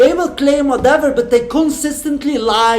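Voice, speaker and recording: Noticeable background noise under a man's moderately paced, fairly even delivery. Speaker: channel host debating an AI. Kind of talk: argumentative religious discussion. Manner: halting, with false starts.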